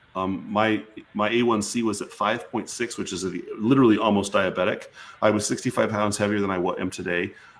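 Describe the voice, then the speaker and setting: A man talking at a fairly quick pace amid noticeable background noise. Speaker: physician. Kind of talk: interview. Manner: fast; animated.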